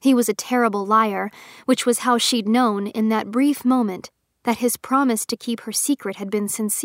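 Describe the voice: Over a quiet background comes plain reading aloud.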